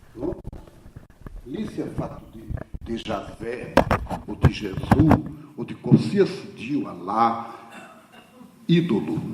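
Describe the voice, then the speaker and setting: Very slow speech from a man with very wide pitch swings, big swings in loudness, and long, frequent pauses comes through audible room echo and noticeable background noise. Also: medium pitch for a man. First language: Portuguese (speaking Italian). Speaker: theologian speaker. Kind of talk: conference talk. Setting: conference hall with audience. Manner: halting.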